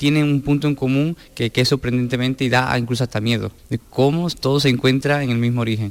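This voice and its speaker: A man speaks at a fairly quick pace in a plain, everyday voice, medium in pitch, with fairly even intonation. The recording is very clean, with a silent background. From Sanlúcar de Barrameda, Cádiz. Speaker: dancer and choreographer. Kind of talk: interview.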